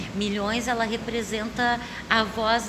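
A very slow, monotone, flat delivery comes with audible room echo and noticeable background noise. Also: woman. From southern Brazil, Porto Alegre. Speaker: stage actress. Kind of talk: interview. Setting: theater stage.

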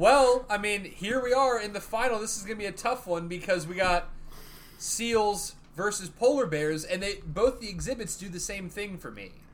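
Here a man talks at a moderate pace. His pitch is high, with ordinary variation. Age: 30s. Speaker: podcast host. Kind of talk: casual chat.

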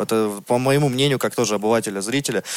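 In an ordinary speaking voice, a man delivers his words fairly quickly. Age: 30s. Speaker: podcast co-host. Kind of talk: casual chat.

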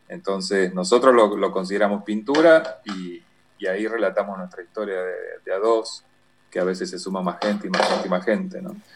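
Noticeable background noise sits behind a man talking at a fairly quick pace. His voice is fairly low, with ordinary pitch variation and big swings in loudness. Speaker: visual artist. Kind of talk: interview.

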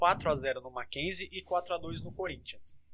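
A man is speaking. His pace is fairly slow. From Santos, São Paulo state, Brazil. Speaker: sports podcast host. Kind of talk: casual chat. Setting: recording from home.

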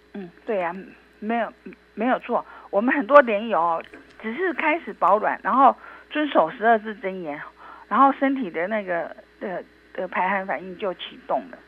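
A woman with a medium-pitched voice speaks at a moderate pace, taking long, frequent pauses. Her pitch swings very widely, her loudness shifts a lot, and there is noticeable background noise. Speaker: traditional Chinese medicine doctor. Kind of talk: interview. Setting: remote call. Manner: halting, repeats words.

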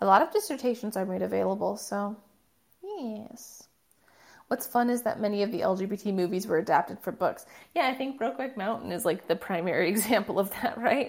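Speaking at a fairly quick pace with vocal fry, a woman uses a medium pitch and ordinary pitch variation in a very clean recording with a silent background. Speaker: livestream host. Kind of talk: casual livestream chat.

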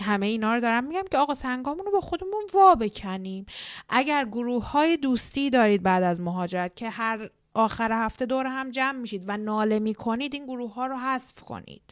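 A woman speaks with a high pitch and a fairly quick pace. Her tone is warm and animated, and her intonation is lively. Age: 30s. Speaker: podcast host, immigration psychology counselor. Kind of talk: solo podcast monologue. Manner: warm, animated.

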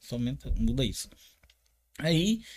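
Very wide swings in a man's pitch, captured in a very clean recording against a silent background. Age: 40s. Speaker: martial arts instructor. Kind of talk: casual interview.

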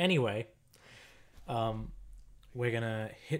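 On a very clean recording with a silent background, a man speaks very slowly at a medium pitch. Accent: Australian. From Australia. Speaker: podcast co-host. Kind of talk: casual banter, movie commentary. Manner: irreverent, joking, swearing.

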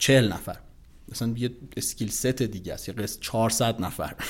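Against a silent background on a very clean recording, a man talks at a medium pitch with fairly even intonation. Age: 30s. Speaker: investment company executive. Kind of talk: casual interview chat.

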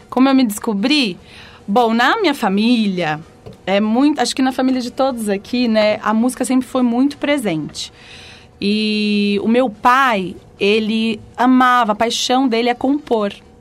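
Over music in the background, a woman speaks fairly slowly at a fairly high pitch with ordinary pitch variation. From São Paulo, Brazil. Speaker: singer. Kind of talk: casual chat. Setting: studio.

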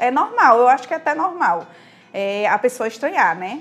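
The speaker has a Brazilian accent and talks at a moderate pace with very wide pitch swings. Noticeable background noise sits behind the voice. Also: woman. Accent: regional Brazilian. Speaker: sustainability content creator. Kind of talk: casual interview. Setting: studio.

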